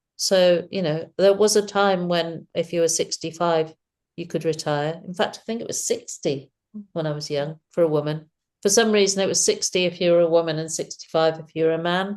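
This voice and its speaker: In an ordinary speaking voice, a woman talks at a fairly quick pace with a fairly low pitch and fairly even intonation. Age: 60s. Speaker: illustrator and author. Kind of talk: casual chat.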